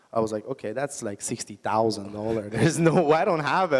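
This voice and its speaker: The speaker is a man. He talks with an Iranian accent. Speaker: entrepreneur. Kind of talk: onstage interview.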